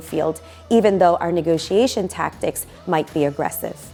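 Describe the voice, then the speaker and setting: Music plays in the background as a woman with a fairly low pitch speaks at a moderate pace. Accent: New York. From Brooklyn, New York. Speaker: negotiation trainer. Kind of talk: expert talk to camera.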